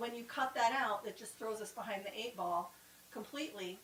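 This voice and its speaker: A woman with a fairly high pitch speaks fairly quickly against noticeable background noise. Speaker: town strategic planning presenter. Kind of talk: public meeting presentation. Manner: fast.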